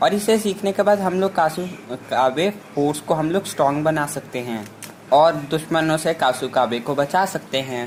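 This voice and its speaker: There is noticeable background noise behind this man. His pitch is fairly high, with ordinary variation. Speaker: anime movie explainer. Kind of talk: casual movie recap narration. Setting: no microphone, unedited voice. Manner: unscripted.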